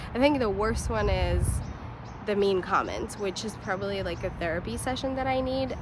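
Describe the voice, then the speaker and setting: Moderate speech from a woman amid audible room echo and noticeable background noise. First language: not English. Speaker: lifestyle vlogger. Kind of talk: personal vlog monologue. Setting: outdoors on a blanket on grass. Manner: hesitant, many fillers.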